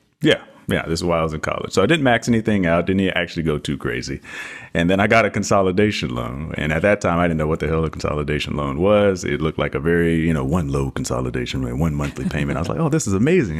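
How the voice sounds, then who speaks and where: Over noticeable background noise, a man with an American accent and a very deep, low pitch talks at a very fast pace with lively intonation. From Texas. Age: 30s. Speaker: author. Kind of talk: podcast interview.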